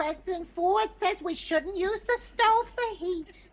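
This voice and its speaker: A woman puts on a character voice at an extremely high pitch. She speaks at a fairly slow pace with lively intonation. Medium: short film. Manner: sweet, earnest.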